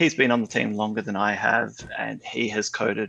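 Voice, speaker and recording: A man with an Australian accent. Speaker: game server developer. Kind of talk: podcast interview. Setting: online call.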